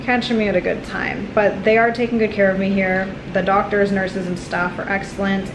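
A woman's monotone, flat delivery against noticeable background noise. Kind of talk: casual vlog chat. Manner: weak, tired voice of a sick patient. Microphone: phone near.

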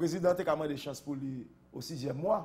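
A man's fairly high-pitched voice at a fairly slow pace. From Haiti. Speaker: politician. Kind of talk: interview. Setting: studio. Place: studio. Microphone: lapel.

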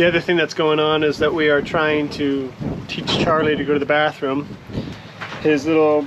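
A man talks fairly fast while noticeable noise carries on behind him. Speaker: vlogger. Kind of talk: casual vlog chat. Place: boat. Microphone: phone near.

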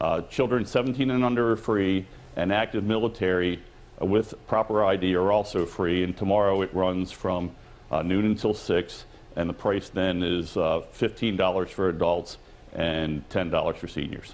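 The speaker moves at a fairly slow pace. Pitch varies in an ordinary way. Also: man, very deep, low pitch for a man. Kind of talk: interview answer. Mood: friendly, upbeat. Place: hall.

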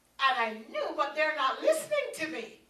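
A woman uses a raised, projected voice with a bright, sharp tone, speaking fairly slowly. Audible room echo surrounds her. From Jamaica. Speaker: preacher. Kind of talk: sermon. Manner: animated. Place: meeting room.

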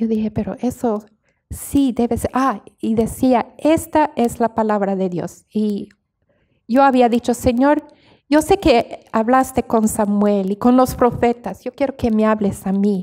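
A woman's fairly high voice with a dark, mellow tone over a quiet background. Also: ordinary pitch variation, fairly slow pace. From Bolivia (La Paz), from age six, missionary family. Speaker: missionary; interview guest. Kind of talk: interview. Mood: warm, earnest, sometimes smiling. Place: studio. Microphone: handheld.

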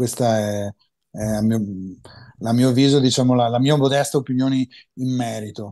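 Over a quiet background, a man talks at a fairly quick pace in a dark, mellow tone. His intonation stays fairly even, broken by long, frequent pauses. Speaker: mastering engineer and headphone expert; guest. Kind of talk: interview. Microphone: video call.

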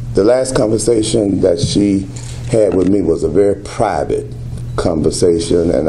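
Over light background noise, a man with a very deep, low pitch talks at a fairly slow pace with lively intonation. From Southern US. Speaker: pastor. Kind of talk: press conference answers. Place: hall. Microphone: podium.

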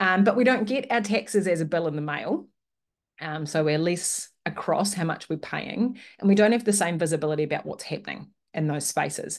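This woman talks fairly quickly in a New Zealand accent. Her voice is fairly low, and the background is quiet. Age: 30s. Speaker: webinar host and local government consultant; webinar host. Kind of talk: webinar presentation. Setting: video call. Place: home room. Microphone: webcam.

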